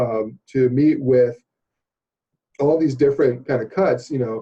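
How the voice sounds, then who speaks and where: The tone is dark and mellow. Some breathiness comes through. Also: man. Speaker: organizational development consultant. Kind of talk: interview explaining a training program. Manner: fast; hesitant, many fillers and repeats.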